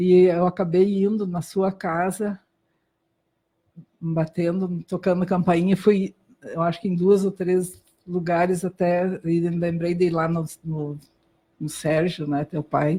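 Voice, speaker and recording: A woman's fairly low, dark, mellow and somewhat breathy voice in a German accent, very slow and monotone, with long, frequent pauses. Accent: German-accented Brazilian Portuguese. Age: 60s. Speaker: doctor. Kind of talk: interview testimony. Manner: halting.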